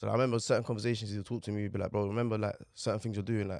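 In a very clean recording with a silent background, a man with a London accent speaks in a fairly low, monotone voice with flat intonation. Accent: London Multicultural English. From London, Newham (East London). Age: 20s. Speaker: fashion model. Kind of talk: casual interview.

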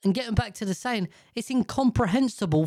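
This man talks very fast in a British accent, his pitch high with ordinary variation. The recording is very clean, with a silent background. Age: 30s. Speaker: podcast host. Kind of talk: casual monologue. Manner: animated.

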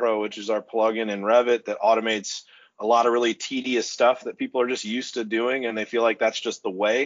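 A man's medium-pitched, monotone, flat delivery at a fairly quick pace. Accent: American. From Oklahoma City, US. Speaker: construction software company executive. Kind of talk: podcast interview. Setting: video call.

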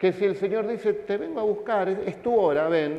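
With audible room echo around him, a man speaks in a high-pitched voice. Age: 50s. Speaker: pastor. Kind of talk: sermon.

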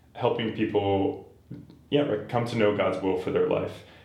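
There is audible room echo as a man talks with an American accent. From Boston area, Massachusetts. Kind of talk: casual interview chat.

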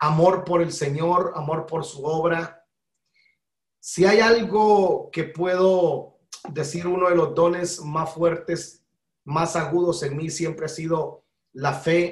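A man with high pitch, fairly even intonation and a very slow pace. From Guatemala. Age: 40s. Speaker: pastor. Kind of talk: interview.

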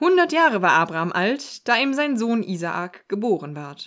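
On a very clean recording with a silent background, a woman talks at a fairly high pitch with very wide pitch swings. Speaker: podcast co-host. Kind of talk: reading aloud.

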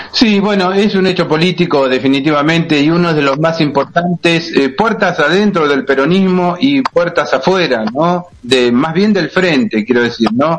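With noticeable background noise behind him, a man speaks at a high pitch and with hardly any pauses. His intonation is lively while his loudness stays very even. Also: moderate pace. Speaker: radio co-host. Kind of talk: radio interview.

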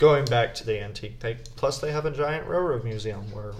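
Amid audible room echo, a man talks at a very fast pace in a somewhat breathy voice with ordinary pitch variation. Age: 20s. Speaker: university student, host's husband. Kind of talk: casual chat.

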